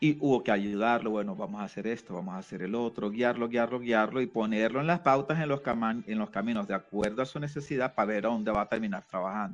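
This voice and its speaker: Barely pausing, a man speaks at a very fast pace, medium in pitch with ordinary variation. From Venezuela, Caracas. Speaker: community organization director. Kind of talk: radio interview.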